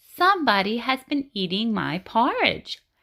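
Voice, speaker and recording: A female-sounding, raspy put-on character voice pitched fairly high. It moves at a moderate pace. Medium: read story.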